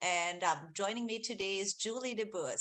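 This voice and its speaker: With an Austrian accent, a woman speaks at a moderate pace in a fairly high voice with a bright, sharp tone. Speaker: research executive, webinar host. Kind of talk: webinar presentation. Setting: video call webinar. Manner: many fillers, hesitant.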